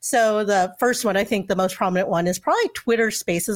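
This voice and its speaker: A woman's normal speaking voice at a medium pitch with ordinary pitch variation, dry and close with no echo, on a very clean recording with a silent background. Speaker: co-host. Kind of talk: live show conversation.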